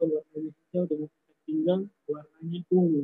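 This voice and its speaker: A soft-spoken man with a high voice talks at a moderate pace. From Flores, Indonesia. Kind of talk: guided tour on live video call. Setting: outdoors at grotto, Zoom call.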